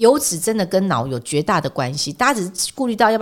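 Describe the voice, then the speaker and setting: A woman's animated, very fast speech with very wide pitch swings, in a very clean recording with a silent background. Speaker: edible oil expert and author. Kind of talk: casual interview. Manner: animated, laughing often.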